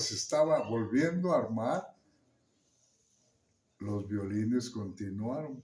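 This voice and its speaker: A somewhat breathy man speaks at a medium pitch. His intonation is lively. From Santiago Juxtlahuaca, Mixteca region, Oaxaca, Mexico. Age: 80s+. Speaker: musician. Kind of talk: interview answer. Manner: hesitant, with fillers.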